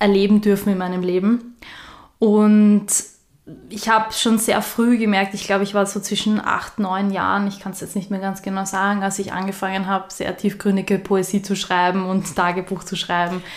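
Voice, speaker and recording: At a moderate pace, a woman speaks in a monotone, flat intonation. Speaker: spiritual podcast co-host. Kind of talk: casual chat.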